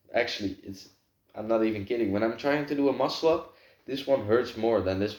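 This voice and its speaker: With a Dutch accent, a man speaks at a fairly low pitch. His tone is dark and mellow. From Netherlands. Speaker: vlogger. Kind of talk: casual monologue to camera. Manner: halting, lots of filler words.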